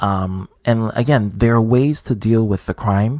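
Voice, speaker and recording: Speaking very slowly in a New York accent, a man uses ordinary pitch variation. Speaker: gaming streamer. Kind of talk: live stream chat.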